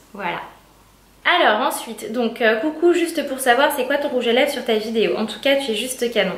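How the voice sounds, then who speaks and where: A woman's high-pitched voice at a moderate pace, with noticeable background noise and audible room echo. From northern France (Amiens). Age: 20s. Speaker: beauty youtuber. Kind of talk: Q&A vlog. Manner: hesitant, many fillers.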